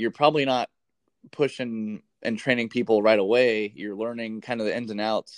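With a dry, close sound, no echo and a quiet background, an unremarkable speaking voice goes at a moderate pace with fairly even intonation. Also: man, medium pitch for a man. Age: 20s. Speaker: podcast host, Air Force member. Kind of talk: casual chat.

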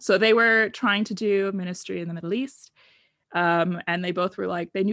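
Against a quiet background, a woman in a plain, everyday voice of medium pitch speaks at a moderate pace with a General American accent and fairly even intonation. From US West (Oregon and Arizona). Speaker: guest telling her life story.

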